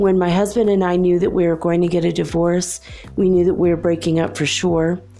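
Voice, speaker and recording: Fairly quick and very even in loudness, a woman's fairly low voice stays monotone and flat. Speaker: podcast host. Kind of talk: solo monologue. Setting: home recording at night. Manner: lower pitch than usual; quiet to avoid waking neighbors.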